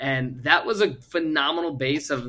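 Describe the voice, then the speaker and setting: With an American accent, a man talks in a bright, sharp tone. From Virginia, US. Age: 20s. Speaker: podcast host and startup founder. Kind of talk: interview.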